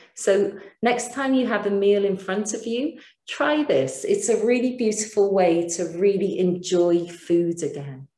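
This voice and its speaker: Speaking with a British accent at a fairly slow pace, a woman has a medium pitch, a calm tone, a dark, mellow tone and lively intonation, with audible room echo around her. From Britain. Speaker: mindfulness teacher. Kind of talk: webinar lecture with guided practice. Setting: online webinar.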